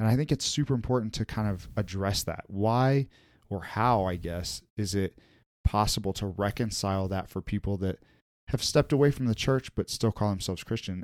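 At a moderate pace, a man talks in a plain, everyday voice, fairly low in pitch with ordinary pitch variation. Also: very clean recording, silent background. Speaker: podcast host. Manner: casual, with frequent filler words.

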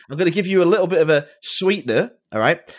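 A man talks very fast in a high pitch with an English accent. The recording is very clean, with a silent background. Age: 30s. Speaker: watchmaker and podcast host. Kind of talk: casual chat.

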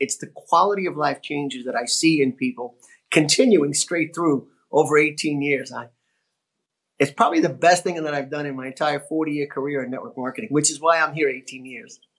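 An unremarkable speaking voice at a moderate pace, with ordinary pitch variation and a quiet background. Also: man. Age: 60s. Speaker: network marketing entrepreneur. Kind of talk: interview.

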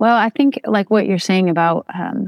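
Against a quiet background, a woman with a Midwestern American accent is heard in a dry, close recording with no echo. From Toledo, Ohio. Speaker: writer and educator. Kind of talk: interview.

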